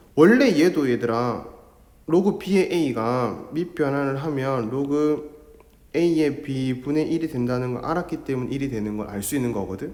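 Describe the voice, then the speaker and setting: Speaking at a fairly slow pace, a man with a fairly high pitch is heard over audible room echo. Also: ordinary pitch variation. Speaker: math teacher. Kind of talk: lecture.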